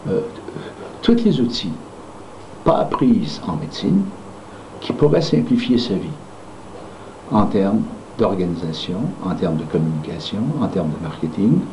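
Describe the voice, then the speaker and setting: A man talks at a fairly slow pace, with long, frequent pauses. Noticeable background noise and audible room echo fill the recording. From Quebec. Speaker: founder of a dental management training company. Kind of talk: promotional talk. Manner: hesitant, many fillers.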